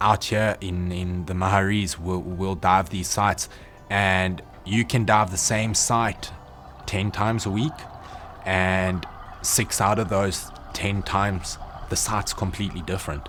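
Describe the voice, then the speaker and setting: A fairly low-pitched man at a fairly slow pace with fairly even intonation, music in the background. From South Africa. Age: 20s. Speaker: diving instructor. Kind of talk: documentary interview. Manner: halting, repeats words.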